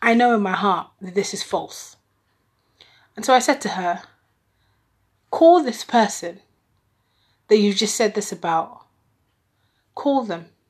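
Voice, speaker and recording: A woman's fairly high voice at a fairly slow pace, with lively intonation, big swings in loudness and long, frequent pauses. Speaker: podcast host. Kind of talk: solo monologue podcast.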